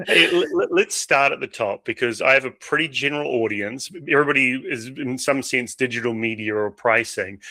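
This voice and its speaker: The voice carries a New Zealand accent and a bright, sharp tone, recorded very cleanly with a silent background and a dry, close sound with no echo. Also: man. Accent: New Zealand, similar to Australian. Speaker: podcast host. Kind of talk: podcast interview.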